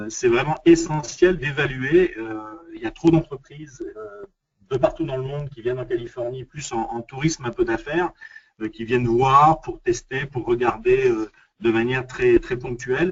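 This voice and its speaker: A man talks at a moderate pace with a fairly high pitch. His voice is somewhat breathy, with big swings in loudness. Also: ordinary pitch variation. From France. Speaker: international business development consultant. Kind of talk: webinar presentation. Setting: online webinar. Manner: halting, many fillers and repetitions.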